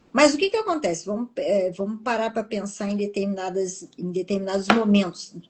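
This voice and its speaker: A woman's medium-pitched voice at a moderate pace, hardly any pauses, ordinary pitch variation, and noticeable background noise. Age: 60s. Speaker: TV professional and public speaker, interviewee. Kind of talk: interview.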